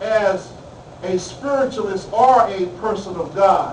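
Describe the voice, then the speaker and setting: Loud and high-pitched, a man speaks amid noticeable background noise and audible room echo. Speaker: spiritual minister and guest speaker. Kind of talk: talk to a class. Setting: classroom.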